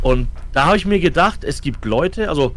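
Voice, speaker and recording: The voice has vocal fry. Its pitch variation is ordinary. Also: man. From Franconia, Germany (Fürth). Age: 30s. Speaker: esports coach. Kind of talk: casual chat.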